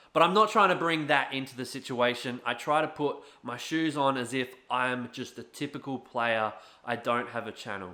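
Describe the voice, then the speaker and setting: Shouting loudly with an Australian accent, a man with a medium-pitched, bright, sharp voice speaks at a moderate pace with ordinary pitch variation on a very clean recording with a silent background. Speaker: gaming YouTuber and streamer. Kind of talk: rant video. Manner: loud, shouting.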